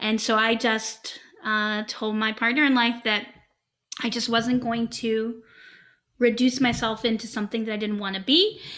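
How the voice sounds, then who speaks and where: A woman speaks with a fairly high pitch and a bright, sharp tone in monotone, flat intonation. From Yorkshire, England. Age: 50s. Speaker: improv comedian and teacher. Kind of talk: casual interview chat.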